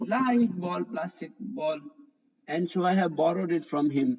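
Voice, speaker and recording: Here a man speaks in an Indian accent. His pitch is high, with ordinary pitch variation. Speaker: physics teacher. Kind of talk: online live class. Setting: online live class.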